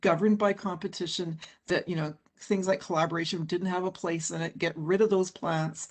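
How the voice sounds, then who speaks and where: An ordinary speaking voice from a woman at medium pitch, moderate pace, quiet background. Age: 60s. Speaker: forest scientist and author. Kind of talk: panel interview.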